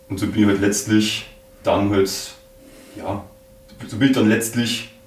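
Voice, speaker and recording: Amid noticeable background noise and audible room echo, a man talks at a fairly quick pace with a fairly low pitch and monotone, flat intonation. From Bavaria, rural area around Munich. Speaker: podcaster. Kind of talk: interview. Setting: office room.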